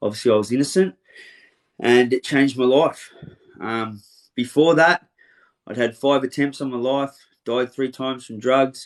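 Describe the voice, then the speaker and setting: A man with a medium-pitched voice pauses long and often, his loudness swinging widely. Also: ordinary pitch variation, moderate pace. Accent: Australian. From Australia, western suburbs of Melbourne. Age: 40s. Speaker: interviewer, motivational speaker, ex-offender. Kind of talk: casual interview.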